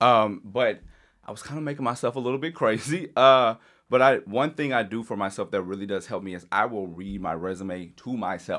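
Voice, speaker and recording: In a very clean recording with a silent background, a man with a plain, everyday voice speaks at a fairly quick pace and medium pitch, with ordinary pitch variation and big swings in loudness. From Louisiana, US South. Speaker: mental health advocate and press secretary. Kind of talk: casual chat.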